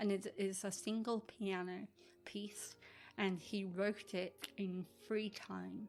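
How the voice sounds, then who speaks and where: Over music in the background, a woman speaks at a very slow pace with medium pitch and monotone, flat intonation. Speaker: music podcast co-host. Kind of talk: casual chat. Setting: remote recording from home. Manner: halting, with fillers.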